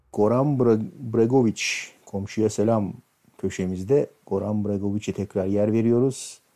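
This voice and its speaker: This man has a fairly low pitch and a dark, mellow tone. His intonation is fairly even and his pace fairly slow. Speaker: radio DJ. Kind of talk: casual radio DJ talk between songs. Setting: home, on a sofa, live broadcast.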